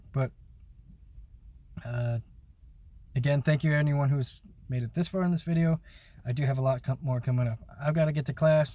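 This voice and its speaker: Speaking at a fairly quick pace yet leaving long, frequent pauses, a man with a fairly high pitch uses a dark, mellow, somewhat breathy tone and fairly even intonation. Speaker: YouTuber and music maker. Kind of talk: casual vlog talk to camera. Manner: unscripted, hesitant with fillers.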